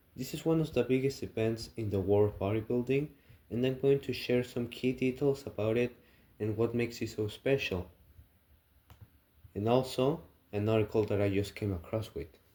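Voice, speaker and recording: Dark, mellow tone from a man of medium pitch with a non-native accent, ordinary pitch variation, a moderate pace and long, frequent pauses. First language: not English. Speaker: student. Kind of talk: class assignment presentation.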